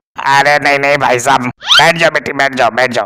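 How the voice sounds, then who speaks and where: A man's cartoonish character voice, medium in pitch, at a fairly quick pace with fairly even intonation and very even loudness. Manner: polite, humble.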